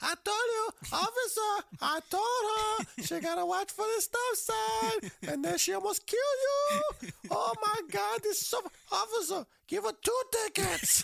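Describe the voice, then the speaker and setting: A man puts on a character voice pitched extremely high and speaks at a fairly slow pace. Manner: laughing.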